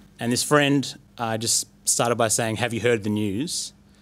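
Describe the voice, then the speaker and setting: At a moderate pace, a man with an Australian accent speaks with fairly even intonation on a very clean recording with a silent background. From Australia, Bendigo. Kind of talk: personal testimony. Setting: live recording with audience at a university.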